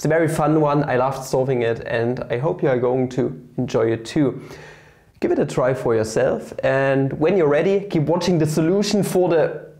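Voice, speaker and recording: With a German accent, the speaker has a dark, mellow tone, moderate pace, ordinary pitch variation and very even loudness against a quiet background. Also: man, fairly high pitch for a man. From Germany. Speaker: maths YouTuber. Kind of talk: tutorial. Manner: animated. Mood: playful, joking. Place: classroom. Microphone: lapel.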